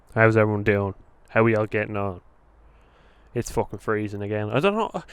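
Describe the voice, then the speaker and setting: This man has a fairly low pitch. His tone is animated. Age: 20s. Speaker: football fan vlogger. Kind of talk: casual vlog. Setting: outdoors.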